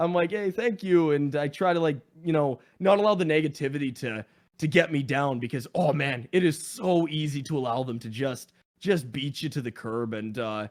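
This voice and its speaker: Using lively intonation, a man with a fairly high voice speaks at a moderate pace. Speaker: gaming content creator. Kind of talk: casual chat. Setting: podcast. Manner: loud.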